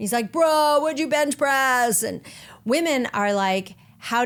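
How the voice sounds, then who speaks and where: Lively intonation marks this woman's speech in an American accent. Her pace is fairly slow. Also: very clean recording, silent background. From US Northeast (Fairfield, Connecticut). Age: 50s. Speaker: podcast host, nutritionist. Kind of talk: monologue podcast. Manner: animated.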